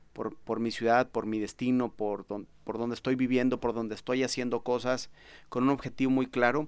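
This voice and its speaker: A man with a Mexican accent and a medium pitch, at a moderate pace, in a very clean recording with a silent background. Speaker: podcast host. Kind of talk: interview. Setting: studio.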